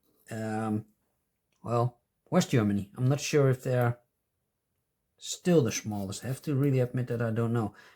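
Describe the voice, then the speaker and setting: In a non-native accent, a man with a dark, mellow tone speaks with fairly even intonation against a quiet background. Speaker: stamp collecting youtuber. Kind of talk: casual chat. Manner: halting. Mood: relaxed, pleased. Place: home room.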